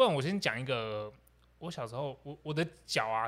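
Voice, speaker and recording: A man talks at a fairly quick pace in a fairly high voice with lively intonation. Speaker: podcast co-host. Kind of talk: casual chat. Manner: animated.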